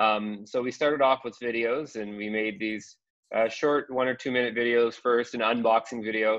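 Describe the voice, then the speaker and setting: Here is a man with a Canadian accent and an unremarkable speaking voice at medium pitch. He talks at a moderate pace with fairly even intonation over a quiet background. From Canada. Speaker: school digital literacy coach. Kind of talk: webinar presentation. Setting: video call from home. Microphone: video call.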